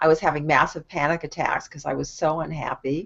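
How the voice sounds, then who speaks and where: A woman with a Californian accent speaks at a very deep, low pitch with ordinary pitch variation. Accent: Californian American. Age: 60s. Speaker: online marketing coach. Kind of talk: casual live stream talk. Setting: video call live stream.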